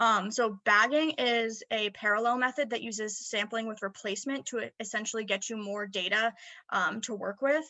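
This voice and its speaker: Against a quiet background, a woman talks with ordinary pitch variation. Her pitch is fairly high. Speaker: student presenter; presenter. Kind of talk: academic presentation. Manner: fast; hesitant fillers. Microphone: webcam.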